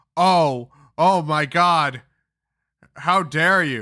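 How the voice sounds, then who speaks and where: Putting on a whiny character voice, a man speaks at a fairly high pitch on a very clean recording with a silent background. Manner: mocking, whiny imitation.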